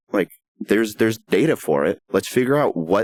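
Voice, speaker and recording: A man with a fairly low pitch and lively intonation is heard in a dry, close recording with no echo. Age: 30s. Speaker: music promoter and songwriter. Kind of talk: podcast interview. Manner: halting.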